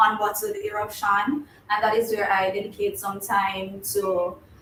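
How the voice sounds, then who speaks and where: Noticeable background noise surrounds a woman with a Jamaican accent speaking at a fairly high pitch. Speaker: university student, YouTuber. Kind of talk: casual chat. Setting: live stream.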